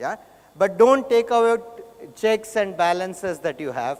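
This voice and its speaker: A man speaks with a South Indian accent. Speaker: conference speaker. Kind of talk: keynote talk.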